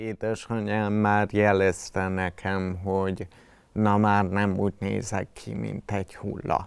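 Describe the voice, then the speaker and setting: Against a silent background in a very clean recording, a man with a fairly low pitch speaks very slowly in a flat monotone. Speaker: patient with multiple sclerosis. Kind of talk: testimony. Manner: halting, jerky speech.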